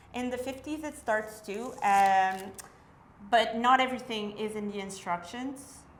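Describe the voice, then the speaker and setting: This woman has a fairly high pitch and a French accent, speaking at a moderate pace with ordinary pitch variation. Audible room echo surrounds her voice. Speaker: vintage sewing enthusiast. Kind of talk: casual tutorial chat.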